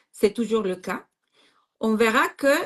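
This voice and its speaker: A woman speaks with a non-native accent at a medium pitch. Her intonation is lively. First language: not French (speaking French). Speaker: astrologer. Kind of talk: casual chat. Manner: halting.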